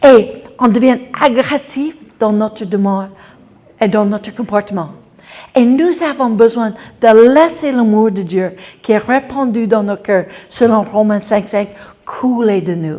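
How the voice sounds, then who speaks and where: Speaking very slowly with long, frequent pauses, a woman in an English accent uses a fairly high pitch, ordinary pitch variation, and a dark, mellow tone. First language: English (speaking French). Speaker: preacher. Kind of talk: sermon.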